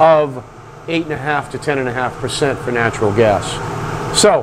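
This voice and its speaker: A man speaks with ordinary pitch variation. Light background noise sits behind him. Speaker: product trainer. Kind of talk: tutorial. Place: workshop. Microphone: lapel.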